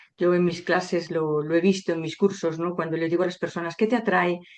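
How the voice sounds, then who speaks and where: A woman talks in a normal speaking voice at a fairly low pitch. Her pace is fairly quick and her intonation fairly even. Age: 60s. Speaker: sociologist and author. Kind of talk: interview.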